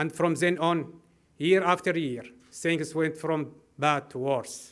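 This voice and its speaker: Fairly even intonation runs through the high-pitched speech of a man with an Arabic accent. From Syria (Homs). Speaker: refugee civil engineer. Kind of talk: prepared speech.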